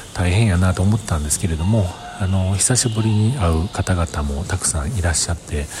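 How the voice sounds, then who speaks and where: Against noticeable background noise, a man speaks fairly quickly in a very deep, low voice. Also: ordinary pitch variation. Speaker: podcaster. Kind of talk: casual monologue. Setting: outdoors at a station.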